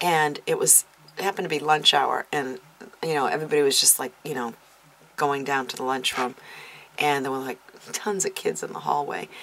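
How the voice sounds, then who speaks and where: A woman talks at a fairly quick pace but leaves long, frequent pauses. Noticeable background noise runs underneath. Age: 50s. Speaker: YouTube vlogger. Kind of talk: casual tag video monologue. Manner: hesitant, many fillers.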